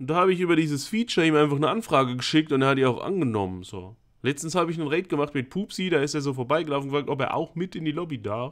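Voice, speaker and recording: The background is quiet. A man is talking. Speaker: gaming streamer. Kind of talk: casual stream commentary. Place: home room. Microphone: studio mic.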